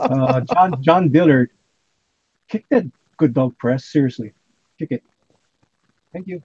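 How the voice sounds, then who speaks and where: A man with a fairly high pitch speaks fairly slowly, pausing long and often, in a dark, mellow, somewhat breathy tone. The sound is dry and close with no echo, with ordinary pitch variation and big swings in loudness. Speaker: livestream host. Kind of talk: casual chat. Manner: animated.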